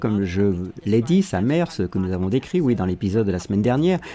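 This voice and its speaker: This man's tone is dark and mellow. His pitch moves in very wide swings. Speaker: voice-over dubber. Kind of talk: dubbed commentary podcast read. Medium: dub.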